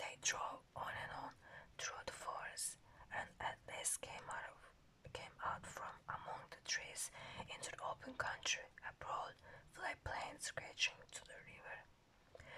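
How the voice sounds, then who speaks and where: Someone whispers at a very slow pace. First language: not English. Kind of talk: ASMR book reading. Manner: soft, calm.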